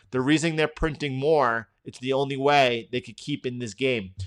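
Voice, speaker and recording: Against a quiet background, a man with a New York accent speaks at a moderate pace. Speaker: trading educator, live stream host. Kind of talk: live market analysis stream. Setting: live stream. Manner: casual, conversational with frequent restarts.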